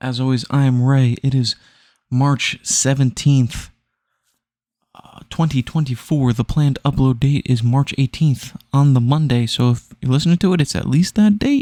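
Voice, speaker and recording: Quiet and at a moderate pace, a man speaks at medium pitch with a dark, mellow tone and ordinary pitch variation, the sound dry and close with no echo. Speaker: gaming podcaster. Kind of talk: casual chat. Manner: hushed.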